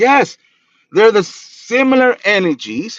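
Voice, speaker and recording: A man speaks with a Spanish accent in an animated tone, with ordinary pitch variation. The sound is dry and close, with no echo. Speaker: spiritual practitioner and reader. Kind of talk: livestream talk.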